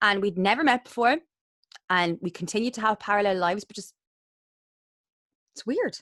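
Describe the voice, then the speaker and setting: A woman with a Waterford accent talks at a fairly quick pace with big swings in loudness and long, frequent pauses, in a dry, close sound with no echo. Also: medium pitch for a woman, ordinary pitch variation. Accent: Irish, Waterford. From Ireland, Waterford. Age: 30s. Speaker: interviewer, podcast host. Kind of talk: casual interview chat.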